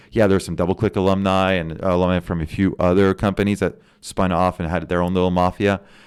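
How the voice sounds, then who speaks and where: A man with a very deep, low pitch speaks at a very fast pace. His intonation is monotone and flat, and the recording is very clean with a silent background. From Canada, Cornwall Ontario (bilingual French-English). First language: French. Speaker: venture capital investor. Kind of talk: casual podcast interview.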